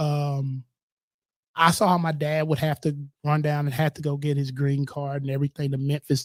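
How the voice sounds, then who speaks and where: A man talks at a fairly quick pace with a fairly high pitch and monotone, flat intonation. The sound is dry and close with no echo, and his voice is somewhat breathy. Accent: Southern. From US South, Tennessee (Murfreesboro). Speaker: insurance agency owner. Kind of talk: casual chat.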